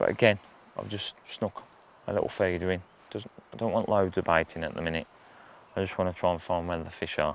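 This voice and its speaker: A quiet man with a very deep, low pitch speaks at a fairly quick pace with fairly even intonation, breaking often into long pauses. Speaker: specialist angler. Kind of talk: outdoor fishing tutorial. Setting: outdoors by a river. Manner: casual, halting with repeats; quiet, hushed.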